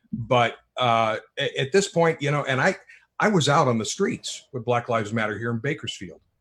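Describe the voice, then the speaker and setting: A normal speaking voice from a man, medium in pitch, at a moderate pace with lively intonation. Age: 60s. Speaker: author. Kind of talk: panel discussion. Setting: live streamed show.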